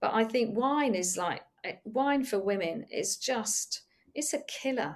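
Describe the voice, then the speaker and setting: Speaking in an English accent, a woman has a fairly high pitch. Her intonation is lively and her pace fairly slow. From England. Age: 60s. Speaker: yoga retreat leader. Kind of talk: casual chat.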